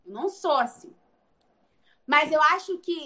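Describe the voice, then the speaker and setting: At a very slow pace, a woman speaks in a high, raised, projected voice. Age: 20s. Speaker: pastor's daughter and nutrition student. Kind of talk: interview. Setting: remote recording. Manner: talkative.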